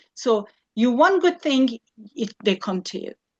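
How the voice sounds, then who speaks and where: A woman with an Iranian accent, fairly high pitch, very wide pitch swings and a fairly slow pace, in a dry, close sound with no echo against a quiet background. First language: Farsi. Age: 60s. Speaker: physiotherapist and cancer survivor. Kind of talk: talk to a group. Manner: halting.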